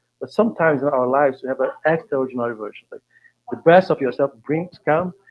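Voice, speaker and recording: With a Brazilian Portuguese accent, a man speaks at a fairly high pitch. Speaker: facilitator. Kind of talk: panel discussion. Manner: halting.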